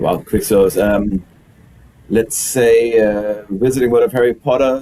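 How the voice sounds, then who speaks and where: A man with a German accent speaks at a fairly slow pace in a medium-pitched voice with a dark, mellow tone and very even loudness. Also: fairly even intonation. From Germany. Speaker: executive chef. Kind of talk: interview.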